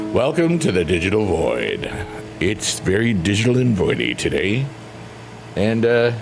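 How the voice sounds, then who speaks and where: A man speaks at a moderate pace in a playful, relaxed tone, his loudness very even. Long, frequent pauses separate his words, with music in the background. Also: lively intonation. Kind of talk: casual livestream chat.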